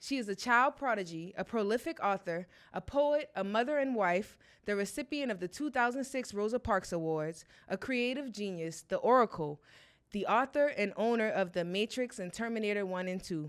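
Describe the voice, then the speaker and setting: A woman's unremarkable speaking voice, fairly high-pitched, with lively intonation and a moderate pace. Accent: American. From South Carolina, Charleston. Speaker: podcast host. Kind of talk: interview podcast.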